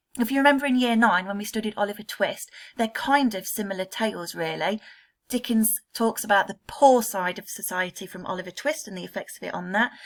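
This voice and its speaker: A woman with an English accent speaks at a fairly quick pace and a fairly high pitch, with ordinary pitch variation and big swings in loudness. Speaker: secondary school English teacher. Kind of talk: recorded remote lesson. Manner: fast.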